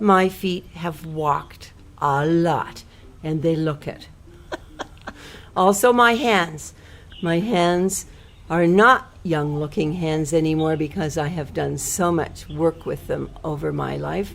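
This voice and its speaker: Her pace is very slow. The woman speaks in a fairly low pitch with ordinary pitch variation. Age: 60s. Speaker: speaker describing herself for a listening exercise. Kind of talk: casual self-description.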